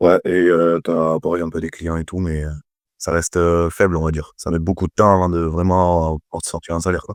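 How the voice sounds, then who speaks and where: A man's very deep, low voice with a Toulouse accent, monotone and flat, at a fairly quick pace, in a dry, close sound with no echo over a quiet background. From southern France, Toulouse. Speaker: personal trainer. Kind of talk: testimonial interview. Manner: hesitant, many fillers.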